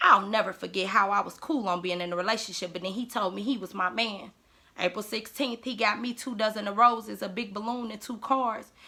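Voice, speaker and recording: With noticeable background noise, a woman talks at a fairly quick pace in a fairly high pitch and fairly even intonation. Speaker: spoken word poet. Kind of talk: spoken word poetry.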